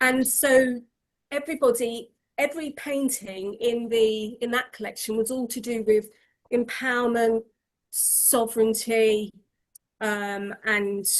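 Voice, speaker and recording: At a fairly slow pace, a woman with a fairly high pitch speaks with fairly even intonation. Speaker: artist. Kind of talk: casual chat. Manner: loud.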